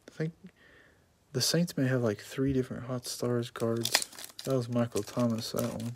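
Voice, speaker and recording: At a moderate pace, the speaker pauses long and often against noticeable background noise. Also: man, medium pitch for a man, fairly even intonation. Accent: American. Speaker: sports card box break streamer. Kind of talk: live stream commentary. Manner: monotone.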